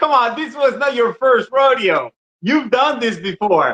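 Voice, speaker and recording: A fairly slow, raised and projected male voice with a bright, sharp tone. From Ecuador. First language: Spanish. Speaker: podcast guest. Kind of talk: casual conversation.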